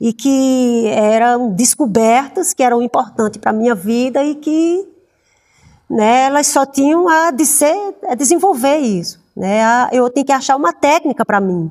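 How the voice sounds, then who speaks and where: The speech moves at a fairly slow pace, with lively intonation and very even loudness. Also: woman, high pitch for a woman. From Paraíba, Brazil. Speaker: actress. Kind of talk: interview. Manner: halting, many fillers.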